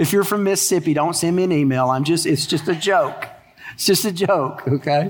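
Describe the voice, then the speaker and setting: Someone with a Texan accent talks at a fairly quick pace with ordinary pitch variation, and room echo is audible. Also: man, high pitch for a man. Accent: Texan American English. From Texas. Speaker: pastor. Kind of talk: sermon. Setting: church.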